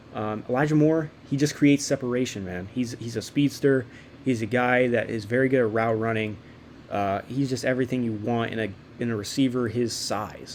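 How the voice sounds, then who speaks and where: A man's ordinary speaking voice, medium in pitch, with fairly even intonation and a fairly quick pace. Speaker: sports YouTuber. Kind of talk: casual commentary. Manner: filler-heavy, repetitive.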